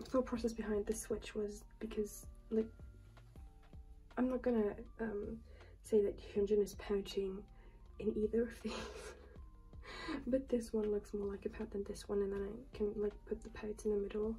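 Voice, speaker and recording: The speech moves at a moderate pace with long, frequent pauses while faint music plays in the background. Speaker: collector vlogger. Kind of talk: casual vlog chat. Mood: light, amused. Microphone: phone near.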